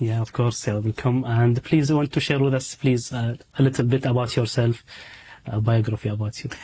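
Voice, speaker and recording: The speaker, in an Arabic accent, talks fairly quickly in a dark, mellow, somewhat breathy tone. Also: man, medium pitch for a man, fairly even intonation. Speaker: program host. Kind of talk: interview.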